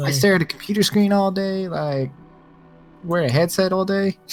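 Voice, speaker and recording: A man puts on a character voice with a drawl, pitched high for a man. He talks at a moderate pace over background music. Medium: actual play. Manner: drawling, laid-back.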